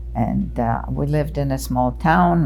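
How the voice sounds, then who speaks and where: There is noticeable background noise along with audible room echo. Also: woman. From Poland (Krakow). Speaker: Holocaust survivor. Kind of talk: oral history testimony.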